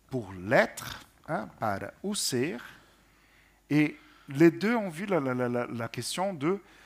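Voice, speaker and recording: Pitched fairly high, this man's voice makes very wide pitch swings. He speaks very slowly, with long, frequent pauses. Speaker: translation panelist. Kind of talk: panel discussion on poetry translation. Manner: hesitant, repeats words.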